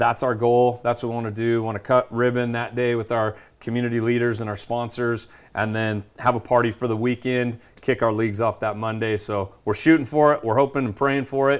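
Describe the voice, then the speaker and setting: A man with an American accent speaks in a monotone, flat intonation against a quiet background. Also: medium pitch for a man, fairly quick pace. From California Central Valley (Madera/Fresno). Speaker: sports business founder and CEO. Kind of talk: radio/TV interview. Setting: studio. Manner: hesitant, many fillers and repetitions.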